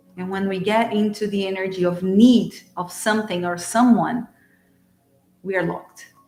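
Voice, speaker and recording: A woman with a Portuguese accent speaks at a medium pitch and a fairly slow pace, her intonation fairly even. Music plays in the background. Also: long, frequent pauses. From Brazil. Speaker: spiritual channeler and card reader. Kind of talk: live-streamed oracle card reading. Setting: live stream.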